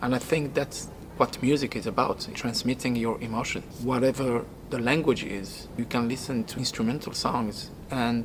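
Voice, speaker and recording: Noticeable background noise surrounds a man speaking at a medium pitch. He talks at a moderate pace in a monotone, flat intonation. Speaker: rock singer. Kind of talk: documentary interview.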